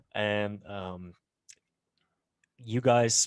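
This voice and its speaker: A man's fairly low voice with fairly even intonation against a quiet background. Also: dry, close sound with no echo. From Netherlands. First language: Dutch. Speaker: podcast host. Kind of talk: interview.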